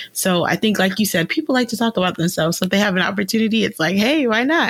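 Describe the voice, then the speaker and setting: Noticeable background noise sits behind a woman's medium-pitched voice. She talks at a very fast pace with ordinary pitch variation. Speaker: podcast host. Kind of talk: casual interview chat.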